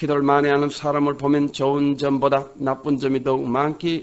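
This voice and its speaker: The intonation is monotone and flat. This man's voice sits fairly high in pitch. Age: 70s. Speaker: pastor. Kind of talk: sermon. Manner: formal.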